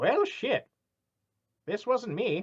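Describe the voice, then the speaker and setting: Pitching his voice extremely high, a man performs a put-on character voice. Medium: actual play. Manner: sassy.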